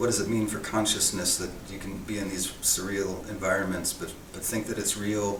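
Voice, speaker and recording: Speaking with an American accent, a man talks at a moderate pace in a fairly low, monotone, flat voice with hardly any pauses. Audible room echo and noticeable background noise fill the recording. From US East Coast, near DC. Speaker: artist. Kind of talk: casual interview. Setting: art show venue. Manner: soft-spoken.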